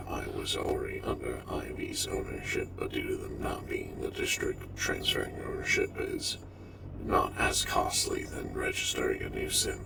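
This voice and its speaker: A put-on character voice speaks at a moderate pace against loud background noise. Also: man, extremely high pitch for a man. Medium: game stream. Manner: formal, precise, slightly stilted.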